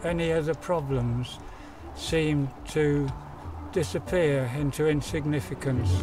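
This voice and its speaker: Against noticeable background noise, a man with a fairly high pitch speaks at a fairly slow pace, leaving long, frequent pauses. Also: ordinary pitch variation. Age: 80s+. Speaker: mountain climber and charity fundraiser. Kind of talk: interview answer.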